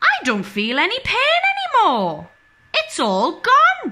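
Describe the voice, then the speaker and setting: Using a put-on character voice at an extremely high pitch, a woman speaks at a fairly slow pace. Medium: read story.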